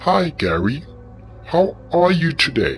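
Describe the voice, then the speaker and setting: Over clear music in the background, a man uses a put-on character voice with a fairly high pitch at a fairly slow pace. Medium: read story. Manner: polite but threatening.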